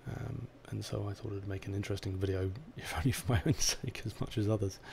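This man has a dark, mellow tone and a fairly low, somewhat breathy voice. He talks at a very fast pace. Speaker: software developer. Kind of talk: technical tutorial talk.

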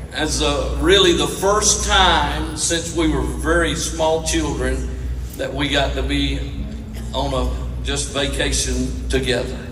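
A man talks at a very slow pace. Noticeable background noise sits behind him. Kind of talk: storytelling stage talk to an audience. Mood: warm, humorous. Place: stage.

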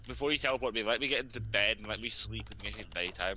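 Over noticeable background noise, a man speaks at a very fast pace with very wide pitch swings, the sound dry with no echo. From UK. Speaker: gamer. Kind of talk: casual chat. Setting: online voice chat. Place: home room. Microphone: headset.

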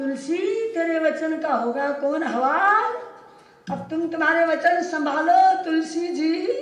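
A woman talks very slowly at an extremely high pitch with ordinary pitch variation. Audible room echo surrounds her voice. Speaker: religious teacher. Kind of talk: sermon storytelling. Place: hall.

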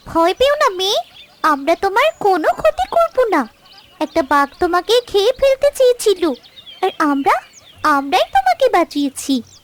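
A cartoonish character voice swings very widely around an extremely high pitch at a moderate pace. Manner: gentle, reassuring.

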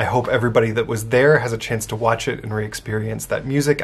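A man talks with ordinary pitch variation at a moderate pace, and light background noise can be heard. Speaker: Unitarian minister. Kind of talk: casual talk to camera, church video update. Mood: warm, upbeat. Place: office. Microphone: phone near.

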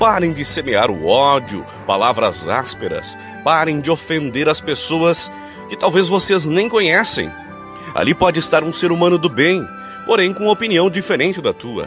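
A man speaks at a moderate pace with a fairly high pitch that swings very widely, music playing in the background. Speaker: voice-over announcer. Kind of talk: reflective message narration.

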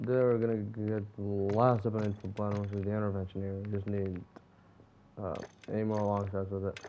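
A man's fairly low, fairly quick voice over noticeable background noise. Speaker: gaming YouTuber. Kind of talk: gameplay commentary. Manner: excitable, swears often.

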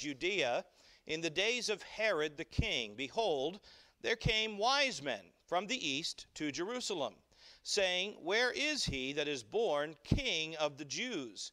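A man's raised, projected voice, bright and sharp in tone, at a very slow pace against a quiet background. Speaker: pastor. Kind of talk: sermon scripture reading. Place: church.

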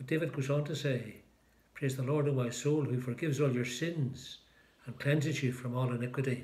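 Flat and monotone, a man talks at a fairly quick pace. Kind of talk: liturgical prayer and short talk. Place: home room. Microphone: phone near.

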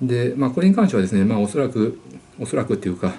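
This man's voice has a dark, mellow tone. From Japan. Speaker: YouTuber answering viewer questions. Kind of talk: casual monologue. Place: home room. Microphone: webcam.

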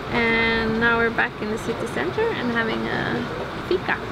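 A woman's voice comes through over loud background noise. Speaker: sailing travel vlogger. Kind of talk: casual vlog chat. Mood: relaxed, cheerful. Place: cafe. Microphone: camera far.

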